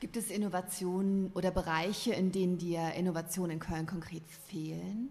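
A woman with an unremarkable speaking voice talks at a moderate pace and medium pitch. Her intonation is fairly even, with hardly any pauses. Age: 40s. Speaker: novelist. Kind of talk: casual chat. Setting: studio.

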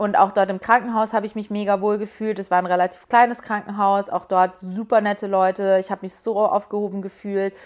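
A woman talks at a fairly quick pace with hardly any pauses. Her intonation is monotone and flat, in a very clean recording with a silent background. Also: medium pitch for a woman. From Munich, Bavaria. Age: 20s. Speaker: podcast host and influencer. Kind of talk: solo Q&A casual talk. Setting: home bedroom.

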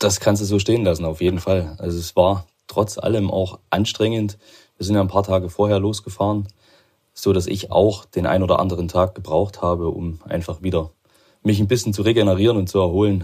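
A man's very deep, low voice comes across somewhat breathy, with a dark, mellow tone. He keeps a monotone, flat intonation. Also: fairly quick pace. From Chemnitz, Saxony, eastern Germany. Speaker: regional sales manager, amateur cyclist. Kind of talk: casual interview. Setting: home office.

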